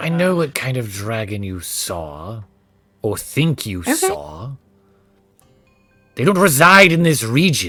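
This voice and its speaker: Putting on a character voice, a man speaks at a fairly slow pace and a medium pitch with very wide swings. Long, frequent pauses break up his lines. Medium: actual play. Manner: suspicious, accusatory.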